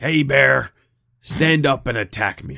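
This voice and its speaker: Putting on a character voice, a man speaks raspy and medium in pitch. His pace is fairly slow. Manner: put-on saga hero voice.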